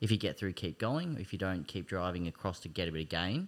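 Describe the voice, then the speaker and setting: On a very clean recording with a silent background, a man with an Australian accent talks at a fairly quick pace in a very deep, low pitch. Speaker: personal trainer and hand cyclist. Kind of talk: casual chat. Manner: hesitant with frequent ums.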